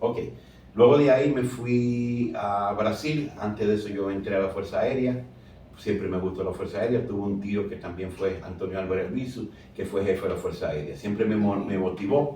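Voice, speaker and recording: Moderate pace and ordinary pitch variation from a man with a fairly low pitch, plus audible room echo. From Dominican Republic, San Pedro de Macorís. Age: 60s. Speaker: plastic surgeon. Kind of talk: interview.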